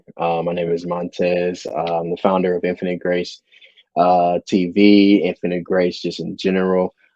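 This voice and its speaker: This man's voice sits very deep and low. He keeps a monotone, flat intonation. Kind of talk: podcast interview.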